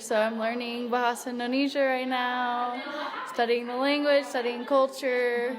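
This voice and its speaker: A woman with an American accent at a high pitch, in a monotone, flat intonation and fairly slow pace, with audible room echo and noticeable background noise. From United States. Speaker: English teacher and volunteer. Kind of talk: interview. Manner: casual, relaxed.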